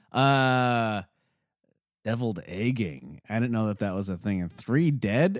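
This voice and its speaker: The recording is very clean, with a silent background. A man speaks in an animated tone at a moderate pace. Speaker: podcast host. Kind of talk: casual comedic banter. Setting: studio. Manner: animated, jokey.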